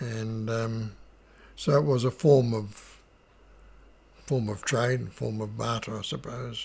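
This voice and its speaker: A man's somewhat breathy, medium-pitched voice with fairly even intonation and long, frequent pauses. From New Zealand, Wairarapa. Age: 80s+. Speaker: Māori elder. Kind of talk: oral history recollection. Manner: humorous, warm.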